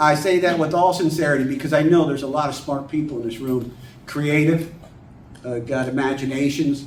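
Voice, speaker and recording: The speaker talks fairly quickly in an American accent. There is audible room echo and noticeable background noise. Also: man, fairly high pitch for a man. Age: 50s. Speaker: children's book author. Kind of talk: talk to a writers' group. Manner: animated, folksy.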